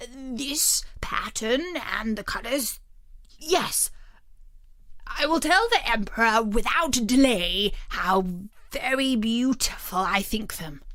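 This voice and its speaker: A woman puts on a high-pitched character voice with lively intonation. She speaks at a very slow pace. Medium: read story. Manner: anxious, self-conscious.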